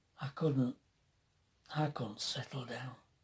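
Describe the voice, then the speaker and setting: In a Yorkshire accent, a man speaks at medium pitch with a dark, mellow tone that is somewhat breathy. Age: 70s. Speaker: retired motorhome vlogger, army veteran. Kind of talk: casual storytelling. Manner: halting.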